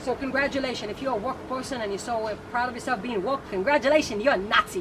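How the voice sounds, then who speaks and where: Noticeable background noise sits behind a woman talking at a very fast pace. Her voice is high, with ordinary pitch variation. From Israel. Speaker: guest. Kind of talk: casual chat.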